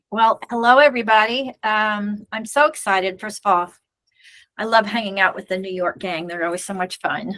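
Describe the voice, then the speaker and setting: A woman at a medium pitch with a bright, sharp tone, a moderate pace and ordinary pitch variation. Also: big swings in loudness. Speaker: web design presenter. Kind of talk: presentation.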